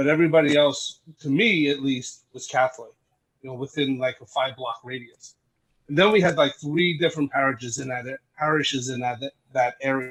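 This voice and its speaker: A fairly high-pitched man with a Brooklyn accent at a moderate pace, ordinary pitch variation, and music in the background. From Brooklyn, New York. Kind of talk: podcast interview. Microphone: audio issues in recording.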